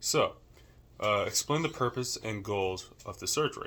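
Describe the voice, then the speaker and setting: The tone is bright and sharp, with ordinary pitch variation. Delivery moves at a fairly quick pace. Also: man. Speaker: student. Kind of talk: class assignment presentation, role-play explanation. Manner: casual, hesitant with fillers.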